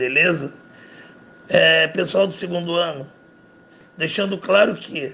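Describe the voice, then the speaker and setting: This man's voice sits high, and its pitch shifts in a typical way. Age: 50s. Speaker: math teacher. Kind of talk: casual podcast talk, advice to students.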